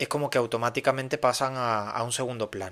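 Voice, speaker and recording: With an Andalusian accent, the voice has a bright, sharp tone and moves at a moderate pace. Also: man. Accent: Andalusian (Cádiz). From Cádiz, Andalusia, Spain. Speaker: podcast host. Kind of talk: casual monologue podcast. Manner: halting, many fillers and repetitions.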